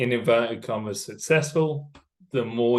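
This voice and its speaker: A man with a southern English accent speaks at a medium pitch with ordinary pitch variation against a quiet background. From England, Cambridgeshire. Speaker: company executive. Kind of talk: podcast interview. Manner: loud.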